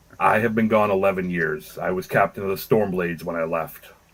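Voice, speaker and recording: In a put-on character voice, a man speaks fairly quickly at a very deep, low pitch. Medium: actual play. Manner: terse, commanding.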